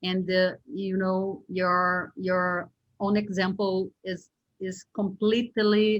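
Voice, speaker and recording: A woman speaks at a medium pitch with a Brazilian Portuguese accent. Her intonation is monotone and flat. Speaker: interviewer. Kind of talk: interview. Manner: halting.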